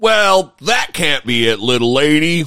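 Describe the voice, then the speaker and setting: Putting on a character voice, a man speaks at a fairly high pitch with very wide pitch swings and a fairly slow pace. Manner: condescending.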